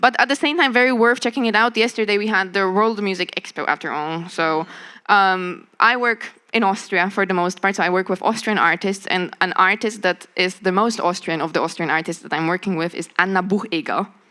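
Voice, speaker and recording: A woman with a Polish accent speaks at a fairly quick pace, her medium pitch showing ordinary variation and a bright, sharp tone. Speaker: creative director and media producer. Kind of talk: panel discussion.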